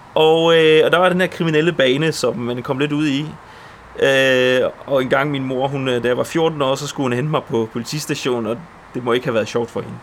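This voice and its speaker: Over noticeable background noise, a man talks at a moderate pace with fairly high pitch and fairly even intonation. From Poland, moved to Denmark at seven. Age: 30s. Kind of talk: testimony.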